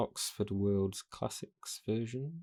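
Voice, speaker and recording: A soft-spoken man talks in a calm tone at a fairly slow pace, his dark, mellow tone paired with lively intonation. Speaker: audiobook reader channel host. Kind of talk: casual introduction to camera. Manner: soft-spoken, calm. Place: home room.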